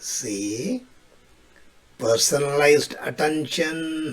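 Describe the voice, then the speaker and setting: A man with an Indian accent speaks at a fairly high pitch. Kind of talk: short comedic English tips to camera.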